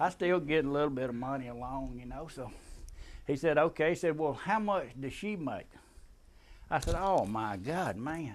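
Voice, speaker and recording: A man speaks at a moderate pace in a Southern US accent. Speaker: military veteran. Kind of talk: storytelling, tall tale. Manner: casual, humorous.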